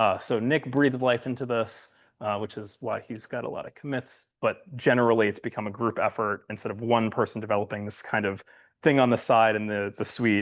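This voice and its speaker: Against a quiet background, a man speaks at a fairly quick pace. His pitch is medium and his intonation fairly even. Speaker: software developer. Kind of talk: conference lightning talk. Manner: fast.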